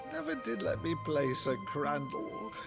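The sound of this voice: A man does a put-on character voice with vocal fry and big pitch swings. He moves at a fairly slow pace over clear music in the background. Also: fairly high pitch for a man.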